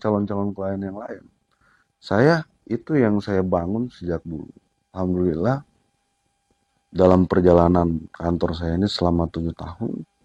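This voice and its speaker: In a dry, close sound with no echo, a man with a dark, mellow tone speaks at a fairly slow pace. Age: 30s. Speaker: lawyer, law firm founder. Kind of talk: interview.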